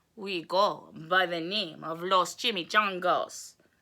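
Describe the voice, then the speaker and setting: A woman's put-on character voice, growling at a medium pitch, fairly slow and with fairly even intonation. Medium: read story.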